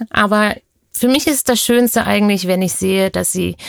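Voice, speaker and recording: In an unremarkable speaking voice, a woman talks at a moderate pace and medium pitch with fairly even intonation. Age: 40s. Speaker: pediatric nurse. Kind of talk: interview. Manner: uses frequent fillers.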